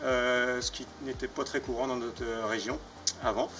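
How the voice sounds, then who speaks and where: A man at medium pitch and a moderate pace, with noticeable background noise. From France, Mayenne (north-west). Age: 30s. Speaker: farmer. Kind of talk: personal testimony. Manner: hesitant, many fillers.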